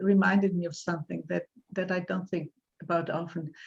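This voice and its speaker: This woman talks at a fairly quick pace with ordinary pitch variation and a somewhat breathy voice. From Poland. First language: Polish. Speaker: poet. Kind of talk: interview. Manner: halting.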